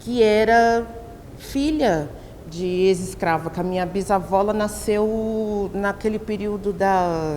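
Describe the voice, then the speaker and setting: Here a woman talks at a medium pitch with ordinary pitch variation. She goes at a very slow pace. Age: 40s. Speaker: professor and researcher. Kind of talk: documentary interview. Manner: halting, self-correcting.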